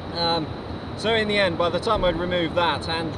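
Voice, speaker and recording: Man's voice over noticeable background noise. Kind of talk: casual vlog chat. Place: boat. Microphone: camera far.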